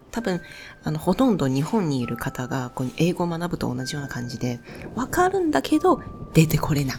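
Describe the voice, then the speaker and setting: A woman with a non-native accent talks fairly quickly in a very deep, low pitch with very wide pitch swings. Noticeable background noise is present. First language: not Japanese (speaking Japanese). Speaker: spiritual youtuber. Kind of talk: personal storytelling monologue.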